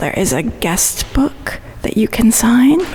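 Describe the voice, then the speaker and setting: Someone whispers at a fairly slow pace. Noticeable background noise runs underneath. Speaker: podcast host. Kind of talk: casual walking tour chat. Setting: outdoors and inside a cemetery mausoleum. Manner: whispering.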